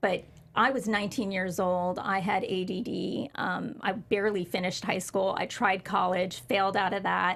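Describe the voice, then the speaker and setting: A woman with an unremarkable speaking voice talks at a medium pitch and moderate pace, her intonation fairly even. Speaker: former pro wrestler. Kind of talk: interview.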